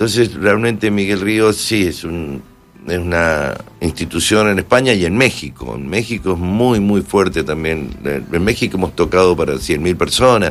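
Against noticeable background noise, a man talks at a fairly slow pace in a very deep, low pitch. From Argentina, Mendoza. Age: 60s. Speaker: musician. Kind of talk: casual interview.

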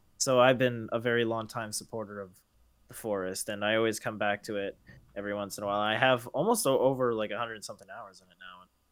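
A man talks at a very fast pace, his pitch medium and his intonation fairly even. His loudness swings widely. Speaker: gaming podcast co-host. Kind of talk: casual chat.

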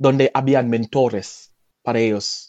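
Speaking very slowly in a Jamaican accent, a man has a dark, mellow tone, and the sound is dry and close with no echo. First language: Jamaican Patois (speaking Spanish). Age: 20s. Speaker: language teacher. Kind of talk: casual interview. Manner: halting, many repetitions.

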